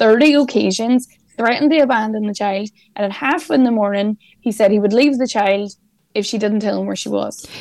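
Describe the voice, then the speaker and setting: Someone with an Irish accent speaks at a moderate pace. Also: woman. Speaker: journalist. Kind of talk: news discussion.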